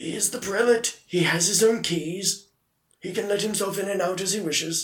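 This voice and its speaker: A man puts on a raspy character voice with a high pitch. He speaks at a moderate pace. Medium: actual play. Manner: prim, dry.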